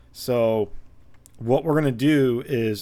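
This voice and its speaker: Speaking very slowly, a man has a dark, mellow tone. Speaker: game modding tutorial maker. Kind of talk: tutorial. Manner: hesitant, many fillers.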